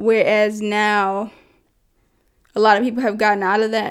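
A woman with an ordinary speaking voice, medium pitch, fairly even intonation and a fairly slow pace, on a very clean recording with a silent background. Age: 20s. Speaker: podcast host. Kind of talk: casual solo podcast monologue. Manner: casual, conversational with filler words.

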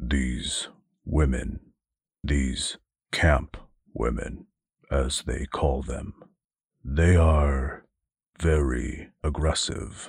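A put-on character voice from a man, very deep and low, at a very slow pace with long, frequent pauses. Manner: formal, stiff, pained.

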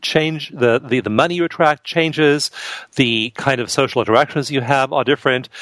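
With a plain, everyday voice, a man speaks at a medium pitch and moderate pace, with ordinary pitch variation in a dry, close sound with no echo. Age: 50s. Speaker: author and researcher. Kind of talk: interview.

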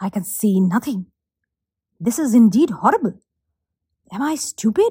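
Recorded with a dry, close sound and no echo, a woman speaks in a somewhat breathy voice. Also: fairly high pitch for a woman, moderate pace. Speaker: professional storyteller. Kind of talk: fairy-tale narration, storytelling performance.

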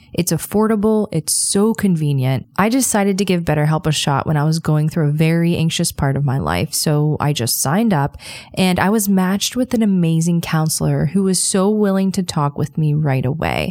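In a very clean recording with a silent background, a woman with a dark, mellow tone and fairly low pitch speaks at a moderate pace with ordinary pitch variation, very even loudness, and hardly any pauses. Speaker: podcast host. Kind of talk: true-crime narration. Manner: measured, storytelling delivery, steady and earnest.

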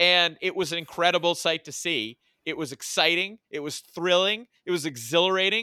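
This man has a high pitch, a bright, sharp tone and an American accent, speaking at a moderate pace with ordinary pitch variation. The sound is dry and close with no echo, on a very clean recording with a silent background. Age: 40s. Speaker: sports podcast co-host. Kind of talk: casual chat. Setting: studio.

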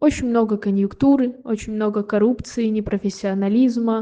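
Fairly even intonation in a woman's dark, mellow tone. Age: 20s. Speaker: conservatory violin student. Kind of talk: read-out personal story.

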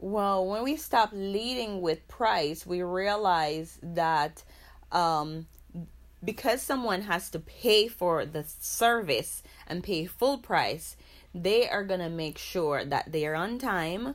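A woman speaks at a very slow pace with lively intonation. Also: medium pitch for a woman. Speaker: massage practice executive. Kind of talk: interview.

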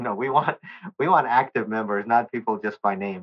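With an American accent, a man talks at a fairly quick pace in an ordinary speaking voice. His pitch is medium, with ordinary pitch variation. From US South, Nashville, Tennessee. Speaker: volunteer and utility engineer. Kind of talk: interview.

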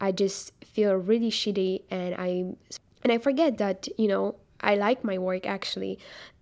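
A woman speaks at a fairly slow pace in a medium pitch. She has a non-native accent and fairly even intonation. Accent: foreign. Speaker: podcast host. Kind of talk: casual interview chat.

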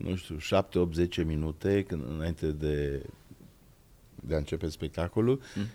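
This man's voice has a dark, mellow tone. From Transylvania, Cluj. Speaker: actor and podcast host. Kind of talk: casual chat.

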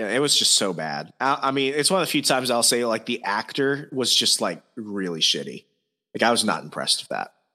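Speaking at a fairly quick pace, a man with a medium-pitched voice and vocal fry swings his pitch very widely. The recording is very clean, with a silent background. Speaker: podcast host. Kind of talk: casual chat. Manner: animated.

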